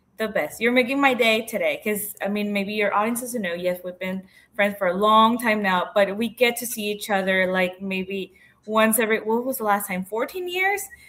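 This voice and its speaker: The speaker is a woman with a Spanish accent. Her pitch is fairly high. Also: ordinary pitch variation, moderate pace. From Mexico. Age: 30s. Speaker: entrepreneur. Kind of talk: interview.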